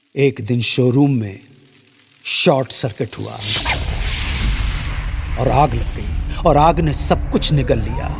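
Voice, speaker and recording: A man with music in the background. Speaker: radio presenter. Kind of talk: sponsored radio story narration.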